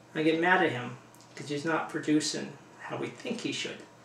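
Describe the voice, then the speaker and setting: A man's voice carries audible room echo. Noticeable background noise sits behind it. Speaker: hockey fan vlogger. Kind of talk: casual video blog. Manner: animated.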